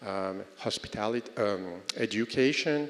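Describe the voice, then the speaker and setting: A man with a French accent at a fairly slow pace. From France. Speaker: real estate development executive. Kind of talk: conference panel talk. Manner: hesitant, many fillers.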